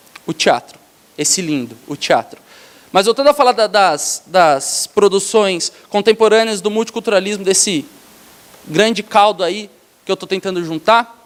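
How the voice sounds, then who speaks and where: With an animated tone, a man speaks at a high pitch with ordinary pitch variation, in a dry, close sound with no echo. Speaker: lecturer, theatre educator. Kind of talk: lecture to teachers. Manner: fast.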